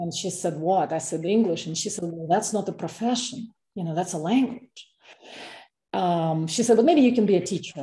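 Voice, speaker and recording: Somewhat breathy and dark, mellow in tone, a woman's voice moves with ordinary pitch variation. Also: medium pitch for a woman, moderate pace. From Russia. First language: Russian. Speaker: fiction author. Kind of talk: interview; reading aloud. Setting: video call. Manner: halting.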